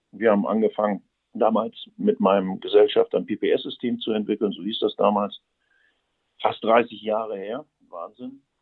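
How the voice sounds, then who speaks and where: Big swings in loudness from a man, moderate in pace, with long, frequent pauses. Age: 50s. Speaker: software company founder. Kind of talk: interview. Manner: energetic.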